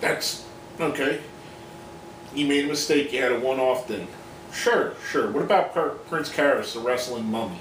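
Audible room echo and light background noise surround a man with a fairly high pitch who speaks at a moderate pace with ordinary pitch variation and long, frequent pauses. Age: 40s. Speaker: wrestling commentary video host. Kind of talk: opinion monologue. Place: home room. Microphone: webcam.

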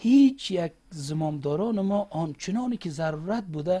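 With an Uzbek accent, a man speaks at a fairly slow pace in a high pitch with lively intonation. His tone is dark and mellow, and the background is quiet. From Afghanistan, Faryab (Maimana); Afghanistan. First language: Uzbek (speaking Persian). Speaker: government official; interview guest. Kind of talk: TV interview. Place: studio.

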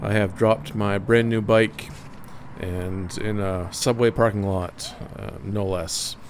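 Light background noise sits behind a man with a fairly low pitch. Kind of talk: casual vlog chat. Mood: wry, self-deprecating. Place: street. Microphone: helmet.

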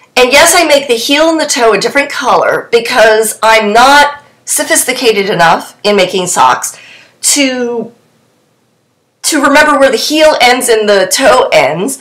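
A woman with a fairly high pitch and a fairly bright tone speaks at a fairly slow pace. Her intonation is lively, and audible room echo surrounds her.

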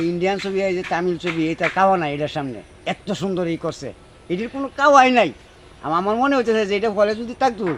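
Against light background noise, a man with a high pitch speaks with lively intonation. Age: old. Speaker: film fan interviewee. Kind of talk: street interview. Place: open country. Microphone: phone near.

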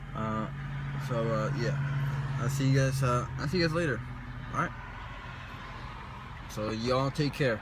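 Over noticeable background noise, a man talks at a moderate pace with fairly even intonation in a dry sound with no echo. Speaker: vlogger. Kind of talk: casual vlog chat. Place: car. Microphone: phone near.

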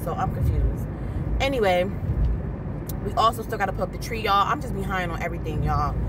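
Loud background noise surrounds a woman's voice. The sound itself is dry, with no echo. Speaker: vlogger. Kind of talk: casual vlog chat. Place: car. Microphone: phone near.

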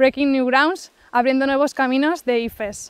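Against a quiet background, a woman with a high pitch speaks at a moderate pace with fairly even intonation, the sound dry with no echo. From Spain, Barcelona; Catalonia, Spain. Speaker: student ministry missionary. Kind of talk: personal update testimony. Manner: hesitant, many fillers. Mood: warm, smiling. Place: forest.

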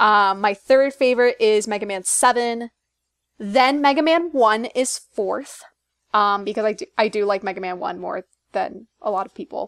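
A woman speaks in a plain, everyday voice at a moderate pace with a fairly high pitch and ordinary pitch variation. The sound is dry and close with no echo, and her loudness swings widely. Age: 20s. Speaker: podcast co-host. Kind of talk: casual chat.

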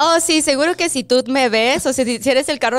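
The voice shows ordinary pitch variation over a quiet background. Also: woman. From Mexico City. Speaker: first grade bilingual teacher. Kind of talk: interview; interview answer. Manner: hesitant with fillers. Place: studio. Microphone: studio mic.

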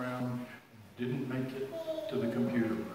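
A man's voice carries strong room echo over light background noise. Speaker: lay speaker. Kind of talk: sermon. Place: church. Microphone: camera far.

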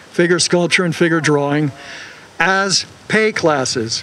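The pitch is high for a man, with ordinary variation. He speaks at a fairly slow pace. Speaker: former older-adult student; speaker. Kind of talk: rally speech. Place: street. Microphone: handheld.

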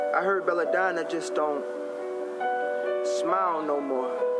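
A man's very slow speech over loud background music. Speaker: spoken word poet. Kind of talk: spoken word poetry performance. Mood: wistful, reflective. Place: street.

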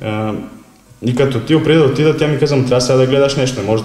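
With a Serbian accent, a man talks at a very fast pace and fairly even intonation. Audible room echo surrounds him. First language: Serbian (speaking Bulgarian). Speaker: former footballer, club marketing specialist; interview guest. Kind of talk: interview; interview answer. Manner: halting. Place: office.

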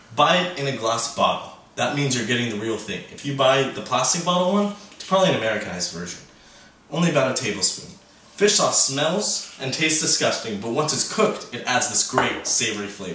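Audible room echo surrounds speech delivered at a fairly quick pace. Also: man. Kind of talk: cooking tutorial. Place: kitchen.

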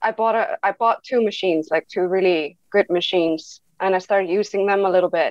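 A woman with an Icelandic accent, fairly quick and almost pauseless, very even in loudness, with ordinary pitch variation, in a dry, echo-free recording over a quiet background. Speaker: tattoo artist. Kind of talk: interview. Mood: calm, personal, reflective. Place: home room.

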